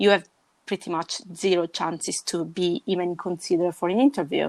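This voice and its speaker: A woman in an Italian accent, fairly low-pitched and fairly quick, with ordinary pitch variation. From Sicily, southern Italy. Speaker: podcast guest. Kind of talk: casual chat. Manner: halting.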